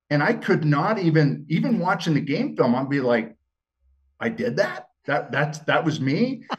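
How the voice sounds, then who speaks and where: A man with an American accent talks at a moderate pace in a fairly high pitch, his intonation lively and his voice showing vocal fry. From Montana. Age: 60s. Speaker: former TV gladiator and football player. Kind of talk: podcast interview. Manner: casual, halting with repetitions.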